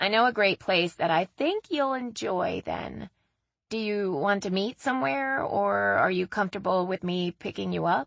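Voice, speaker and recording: Putting on a raspy character voice, a woman speaks at a moderate pace with a medium pitch. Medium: read story. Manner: lively, talkative.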